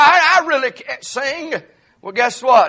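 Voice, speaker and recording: A man projects a raised voice at an extremely high pitch, with a bright, sharp tone. His intonation is lively and his pace moderate. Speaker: pastor. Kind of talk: sermon. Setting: church. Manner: halting.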